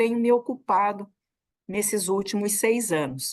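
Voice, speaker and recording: All is quiet behind the speaker. A woman talks at a fairly slow pace. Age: 60s. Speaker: federal labor prosecutor. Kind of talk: interview. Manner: halting, many repetitions.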